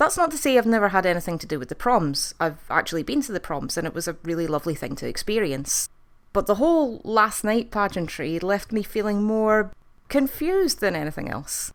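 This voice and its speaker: A woman with a Scottish accent speaks with very wide pitch swings. The recording is very clean, with a silent background. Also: medium pitch for a woman, fairly quick pace. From Scotland. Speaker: TV review youtuber. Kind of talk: video review monologue.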